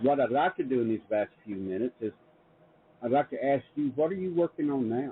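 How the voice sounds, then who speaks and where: The speaker is a man with a medium pitch. His intonation is lively. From US South, Middle Tennessee. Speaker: publisher and show host. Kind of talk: interview conversation. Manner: halting with many repetitions.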